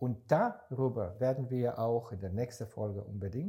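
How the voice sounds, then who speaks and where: A man's somewhat breathy voice with a dark, mellow tone, at a very slow pace. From Israel. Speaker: startup investor. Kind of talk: casual chat. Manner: halting.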